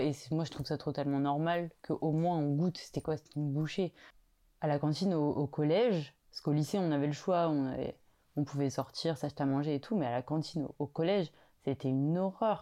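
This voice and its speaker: Against a quiet background, a dark, mellow tone moves at a fairly quick pace with ordinary pitch variation. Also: woman, very deep, low pitch for a woman. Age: 20s. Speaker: home cook sharing recipe. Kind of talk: casual interview. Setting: home kitchen. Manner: hesitant, many fillers.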